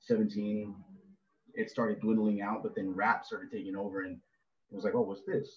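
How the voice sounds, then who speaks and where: A man speaks at a fairly quick pace but takes long, frequent pauses. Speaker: rapper. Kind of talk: interview. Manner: fast; casual, filler-heavy.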